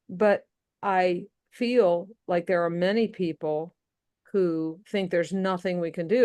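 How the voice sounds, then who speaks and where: A woman's unremarkable speaking voice, medium in pitch with ordinary variation, over a quiet background. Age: 60s. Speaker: podcast co-host. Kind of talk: casual political discussion.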